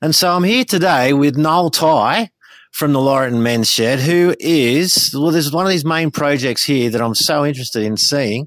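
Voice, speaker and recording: There is ordinary pitch variation as a man talks with an Australian accent. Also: fairly high pitch for a man, moderate pace, very even loudness. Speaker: podcast segment presenter. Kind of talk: field interview. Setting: outdoors.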